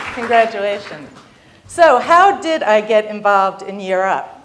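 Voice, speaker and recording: With crowd noise behind her and audible room echo, a woman speaks at a moderate pace in a fairly high pitch that swings very widely. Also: big swings in loudness. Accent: American. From New York, Long Island. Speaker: business executive. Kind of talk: keynote speech.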